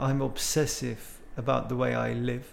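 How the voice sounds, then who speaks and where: A man speaks with audible room echo. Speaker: horn player. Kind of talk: interview conversation. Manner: calm, still way of speaking.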